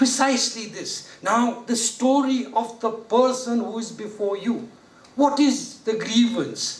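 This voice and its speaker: Very slowly, a man speaks at an extremely high pitch with ordinary pitch variation and audible room echo. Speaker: judge giving a training lecture. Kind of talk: lecture. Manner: conversational, rhetorical questions.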